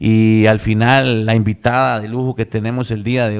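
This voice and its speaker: A man with a Costa Rican accent speaks at a moderate pace and medium pitch in a flat monotone, in a very clean recording with a silent background. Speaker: radio host. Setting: radio studio.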